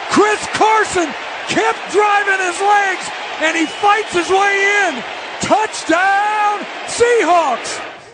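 Over noticeable background noise, a man speaks in a raised, projected voice at an extremely high pitch, very slowly and with long, frequent pauses, his intonation fairly even. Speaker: sports analyst.

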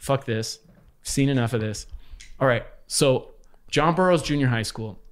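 A man with an American accent and a fairly high pitch talks at a moderate pace with ordinary pitch variation and long, frequent pauses, in a very clean recording with a silent background. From Los Angeles, US. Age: 50s. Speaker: former graffiti artist. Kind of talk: casual chat.

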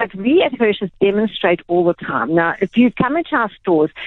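A woman talks at a fairly quick pace with a medium pitch. Her pitch swings very widely. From South Africa, Durban. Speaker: retail executive. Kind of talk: radio interview.

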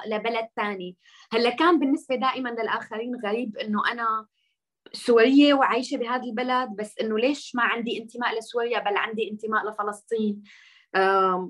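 Fairly even intonation marks a woman's fairly high voice, an unremarkable speaking voice moving at a moderate speed. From Syria, Masyaf and Damascus. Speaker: journalist and activist. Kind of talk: podcast interview.

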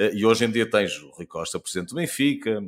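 A man speaks in an unremarkable speaking voice. His pace is moderate and his pitch variation ordinary. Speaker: podcast host and TV presenter. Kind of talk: interview.

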